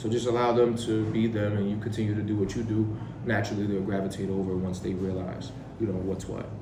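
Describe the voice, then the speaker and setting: A man with an American accent talks very fast in a fairly low, monotone, flat voice. Audible room echo and noticeable background noise fill the recording. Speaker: interviewee on identity. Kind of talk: interview.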